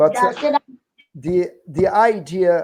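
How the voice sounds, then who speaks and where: Someone with a non-native accent talks at a very slow pace. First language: not English. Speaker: union educator leading a workers' training group. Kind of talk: online group meeting / class. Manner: slow, deliberate.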